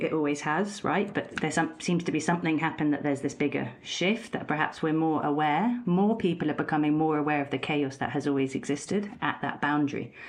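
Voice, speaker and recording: A woman's very deep, low voice with ordinary pitch variation, against noticeable background noise. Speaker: podcast host. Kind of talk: interview question.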